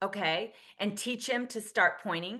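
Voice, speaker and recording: A woman speaks at a medium pitch. Her tone is animated, bright and sharp. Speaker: podcast host and behavior coach. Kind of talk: coaching conversation. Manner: fast.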